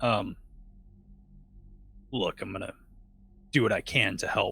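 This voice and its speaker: A man puts on a raspy character voice at a medium pitch. He talks at a moderate pace. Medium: actual play.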